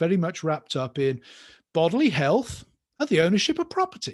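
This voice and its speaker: The recording is very clean with a silent background. A man with a British accent speaks at a moderate pace, his fairly high pitch carrying lively intonation. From United Kingdom. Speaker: professor. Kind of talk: lecture.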